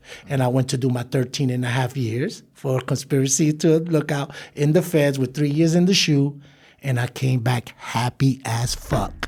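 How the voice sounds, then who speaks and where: This man speaks at medium pitch and a moderate pace. His voice is somewhat breathy, with fairly even intonation. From New York City (Brooklyn). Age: 50s. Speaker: former gang leader turned community leader. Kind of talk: interview.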